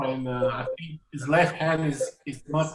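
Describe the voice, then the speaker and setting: With a French accent, a man talks at a fairly high pitch amid audible room echo and noticeable background noise. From France. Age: 30s. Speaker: jazz pianist and educator. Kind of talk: interview. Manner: halting, many repetitions.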